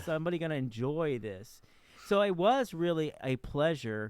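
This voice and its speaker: A man's normal speaking voice at a fairly slow pace with ordinary pitch variation, on a very clean recording with a silent background. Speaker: podcast host, writer. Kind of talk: podcast interview.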